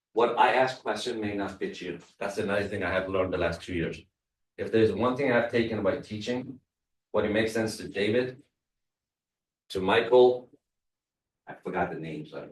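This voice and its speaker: With a non-native accent, a man speaks at a moderate pace in a fairly low voice, showing ordinary pitch variation and long, frequent pauses. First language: not English. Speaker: real estate trainer. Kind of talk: workshop presentation.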